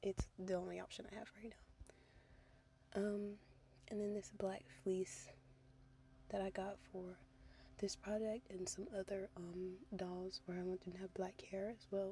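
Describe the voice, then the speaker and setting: This speaker is soft-spoken and leaves long, frequent pauses. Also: moderate pace. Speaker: doll repaint crafter. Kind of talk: voiceover tutorial. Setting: in a car. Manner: casual with many fillers.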